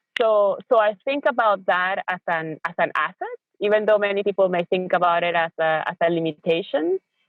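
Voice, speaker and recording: A woman speaks in a medium pitch with a Spanish accent and ordinary pitch variation. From Venezuela. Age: middle-aged. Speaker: educator and parent. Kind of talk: interview. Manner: halting, many fillers and repeated words.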